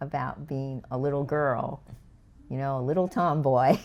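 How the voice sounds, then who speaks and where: Dark and mellow in tone, a woman speaks with an American accent. The recording is very clean, and the background is silent. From Los Angeles, California. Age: 70s. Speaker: podcast guest. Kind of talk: casual interview chat.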